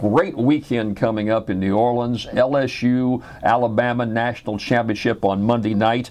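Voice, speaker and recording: A man with an American accent talks with fairly even intonation. Noticeable background noise can be heard. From Louisiana, US South. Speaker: radio host. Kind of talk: radio talk show monologue.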